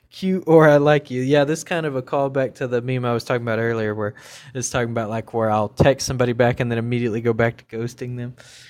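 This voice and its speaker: A man with an American accent talking at a very fast pace, on a very clean recording with a silent background. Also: medium pitch for a man, fairly even intonation. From US South. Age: 30s. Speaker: podcast host. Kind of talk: casual monologue. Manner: halting, many fillers.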